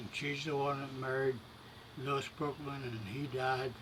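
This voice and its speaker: Fairly slow, monotone speech from a medium-pitched man with an Appalachian accent, over noticeable background noise. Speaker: elderly relative. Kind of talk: casual chat.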